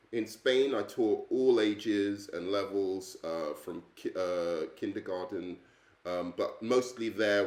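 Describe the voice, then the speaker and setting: The speaker is a man. He talks fairly slowly with an English accent. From England. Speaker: English teacher. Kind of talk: self-introduction video. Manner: hesitant, many fillers.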